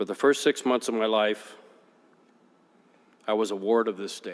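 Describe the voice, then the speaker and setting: In an Upper Midwest accent, a man speaks at a moderate pace with a fairly low pitch and fairly even intonation. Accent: Upper Midwest American. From West Michigan, US. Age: 50s. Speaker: politician. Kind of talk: farewell speech. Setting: legislative chamber. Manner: formal.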